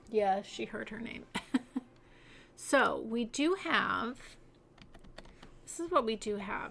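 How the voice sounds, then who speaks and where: Her fairly high voice carries vocal fry and a relaxed tone, with very wide pitch swings. The woman leaves long, frequent pauses. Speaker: city-building game streamer. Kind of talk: livestream gameplay commentary. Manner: relaxed, casual.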